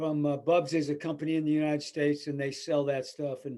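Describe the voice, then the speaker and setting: On a very clean recording with a silent background, a man with an American accent speaks fairly quickly at a fairly high pitch. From US Midwest, small-town Illinois. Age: 70s. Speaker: weightlifting coach. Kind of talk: podcast interview. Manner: blunt, plain-spoken.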